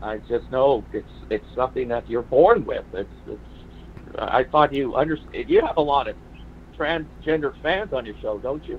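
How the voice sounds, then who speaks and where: This man talks at a moderate pace. Noticeable background noise runs behind him. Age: 40s. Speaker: caller. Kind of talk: call-in debate. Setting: phone call. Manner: hesitant, many fillers.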